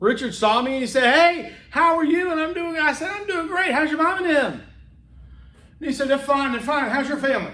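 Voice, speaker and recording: With an animated tone and a raised, projected voice, a man speaks at a fairly quick pace in an extremely high pitch, with audible room echo. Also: ordinary pitch variation. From US South, Homewood, Alabama (Birmingham). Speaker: public speaking instructor. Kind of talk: lecture.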